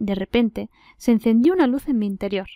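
A woman with an Andalusian accent speaks at a moderate pace in a fairly high pitch, with ordinary pitch variation and a dark, mellow tone, on a very clean recording with a silent background and a dry, close sound with no echo. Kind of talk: audiobook reading.

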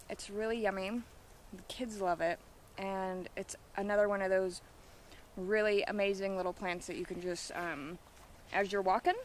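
A woman at a moderate pace with long, frequent pauses and fairly even intonation, dry with no echo and light background noise. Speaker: wild plant guide. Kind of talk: tutorial. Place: open country. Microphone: phone near.

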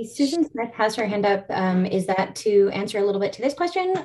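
Here a woman talks at a very fast pace with a Canadian accent. Her pitch sits in the medium range. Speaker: rural health nonprofit staff and session moderator; webinar moderator. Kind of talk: webinar hosting. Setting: video call. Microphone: video call.

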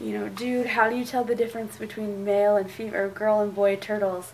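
Light background noise sits under a woman talking at a very fast pace. Her intonation is fairly even. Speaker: vlogger. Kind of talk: casual vlog chat. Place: home room. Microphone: phone near.

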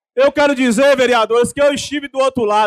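Against a quiet background, a man talks loudly and fairly quickly in an animated tone with ordinary pitch variation. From Brazil, Bahia (Teixeira de Freitas); Bahia, Brazil. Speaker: city councillor. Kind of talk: political speech. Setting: council chamber with audience. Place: hall. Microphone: podium.

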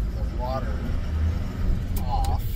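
Speech with ordinary pitch variation plays against loud background noise. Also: man. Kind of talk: casual vlog chat. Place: car. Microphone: phone near.

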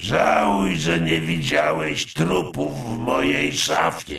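Using a put-on character voice, a man speaks in a raspy, very deep, low pitch at a fairly slow pace. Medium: fan dub. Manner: sardonic.

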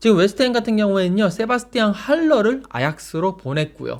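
On a very clean recording with a silent background, a man with a high pitch talks at a fairly quick pace with lively intonation. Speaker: football journalist. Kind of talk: news briefing. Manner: formal.

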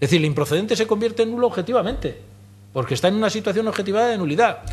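A man's voice with very wide pitch swings. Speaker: speaker. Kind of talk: lecture. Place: hall. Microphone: podium.

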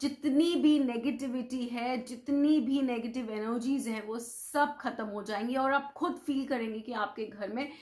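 This woman talks fairly slowly in a high voice, with an animated tone and ordinary pitch variation, against a quiet background. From India. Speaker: vastu consultant, video host. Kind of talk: tutorial. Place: home room. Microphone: lapel.

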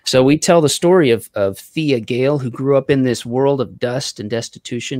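Against a quiet background, the voice moves at a fairly quick pace with ordinary pitch variation, in a dry sound with no echo. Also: man. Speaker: comic book creator. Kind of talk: casual chat. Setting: video call. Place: home room.

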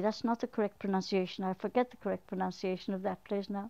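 Over a quiet background, a woman speaks at medium pitch with an Irish accent. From Arklow, Ireland. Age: 70s. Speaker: elderly local resident. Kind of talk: interview answer. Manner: hesitant, reminiscing. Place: home room.

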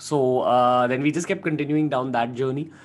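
A man speaks at a moderate pace. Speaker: guest. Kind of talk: interview answer. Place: home room. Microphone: studio mic.

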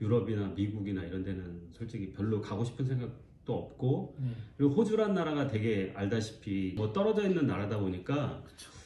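With audible room echo, a man talks at a fairly quick pace. His fairly low pitch shows ordinary variation. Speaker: interviewee. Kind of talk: interview answer. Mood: relaxed, smiling at times. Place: home room.

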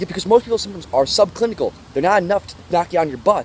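A man speaks with lively intonation. The sound is dry with no echo, over light background noise. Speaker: diet vlogger. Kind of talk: advice vlog talk. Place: forest. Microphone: phone near.

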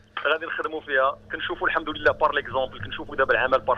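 A man at a very fast pace, with light background noise. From Morocco. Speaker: sports science academic. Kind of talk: radio interview. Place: studio.

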